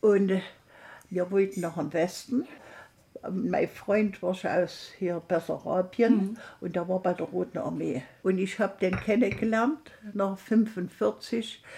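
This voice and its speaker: A woman talks at a very slow pace in a somewhat breathy voice. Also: medium pitch for a woman, ordinary pitch variation. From Saxony, Erzgebirge (Thum). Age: 90s. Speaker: former political prisoner. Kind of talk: interview testimony. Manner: halting.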